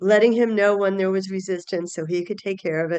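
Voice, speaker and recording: A woman talks at medium pitch with fairly even intonation. It is a plain, everyday voice over a quiet background. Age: 60s. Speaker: healthcare change-management presenter. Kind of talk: webinar lecture. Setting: online webinar.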